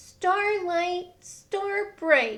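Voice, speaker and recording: An extremely high pitch marks this put-on character voice. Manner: wishing, storytelling.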